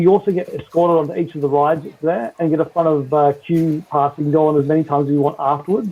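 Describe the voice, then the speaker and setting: A man's fairly high-pitched voice in an Australian accent, very fast and with hardly any pauses, the intonation fairly even. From Western Australia. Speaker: Disney park fan. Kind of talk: casual chat. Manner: halting, many fillers.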